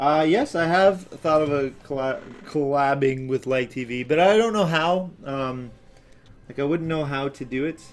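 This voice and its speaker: Fairly high male pitch with ordinary variation at a moderate pace, faint music in the background. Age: 20s. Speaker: animator and channel owner. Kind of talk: live stream commentary while working. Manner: slurred, sounds drunk; hesitant with many fillers. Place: home room.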